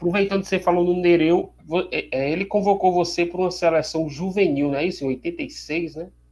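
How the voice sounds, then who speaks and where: A man's high voice carries ordinary pitch variation as he talks at a moderate pace. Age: 40s. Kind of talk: interview.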